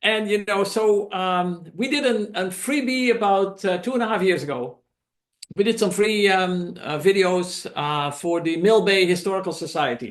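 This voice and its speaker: A man talks with a Dutch accent at a moderate pace. His voice is high-pitched, with ordinary pitch variation. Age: 70s. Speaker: documentary filmmaker. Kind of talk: presentation to a club meeting. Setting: meeting room, also streamed on Zoom. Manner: halting, many fillers.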